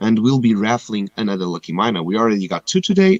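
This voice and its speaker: A man's fairly low-pitched voice with lively intonation, dry and close with no echo. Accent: non-native. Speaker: game livestream host. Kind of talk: live stream giveaway announcements. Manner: casual, some hesitations.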